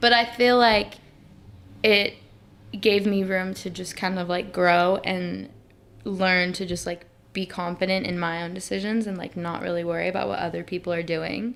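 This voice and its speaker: A woman's plain, everyday voice in a General American accent, medium in pitch, with fairly even intonation at a moderate pace. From Arizona (Phoenix). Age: 20s. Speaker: singer-songwriter. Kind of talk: casual interview chat. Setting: podcast studio. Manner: casual, frequent filler 'like'.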